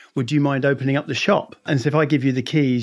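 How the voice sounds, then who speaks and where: A man with an English accent on a very clean recording with a silent background. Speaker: consulting firm managing partner. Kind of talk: interview.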